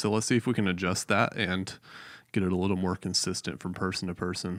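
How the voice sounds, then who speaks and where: A man is talking. His pace is very fast. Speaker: live stream reviewer, church worship tech. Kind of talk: casual chat.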